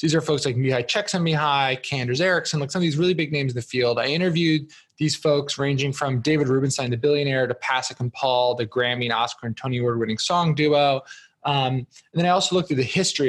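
A man with an American accent speaks at a very fast pace, his pitch fairly high. His voice is somewhat breathy, with ordinary pitch variation. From US Northeast (New Jersey). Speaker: entrepreneur and author. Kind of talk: podcast interview.

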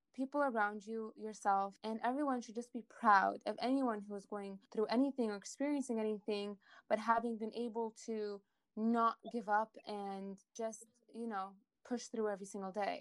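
A woman with an ordinary speaking voice talks at a moderate pace with fairly even intonation and big swings in loudness. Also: fairly high pitch for a woman. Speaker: podcast host. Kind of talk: podcast interview with a fable told aloud.

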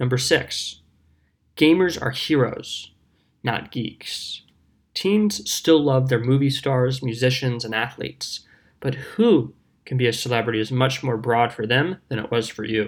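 Recorded very cleanly with a silent background, a man of medium pitch speaks in an ordinary speaking voice at a fairly slow pace with ordinary pitch variation. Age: 20s. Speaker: speaker on youth culture. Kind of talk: prepared talk.

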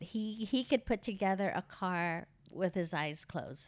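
Heard on a very clean recording with a silent background, an ordinary speaking voice with an American accent keeps a moderate pace and ordinary pitch variation. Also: woman. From Philippines, then California. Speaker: host's mother. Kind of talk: casual interview about her life.

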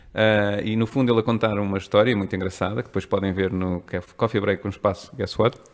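Speaking very fast with hardly any pauses, a man keeps a monotone, flat intonation at a fairly low pitch. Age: 30s. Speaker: strategist. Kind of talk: casual chat.

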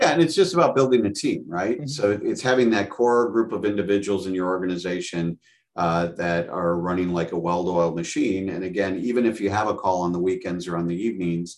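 A man talks at a fairly quick pace with a very deep, low pitch. His pitch variation is ordinary, over a quiet background. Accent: American. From Wisconsin, US Midwest. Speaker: franchise development director. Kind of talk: interview.

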